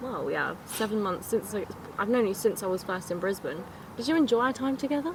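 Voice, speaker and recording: A woman with an English accent, fairly high-pitched, at a fairly quick pace with lively intonation, amid noticeable background noise. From Scotland. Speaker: travel podcast host. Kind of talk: casual chat.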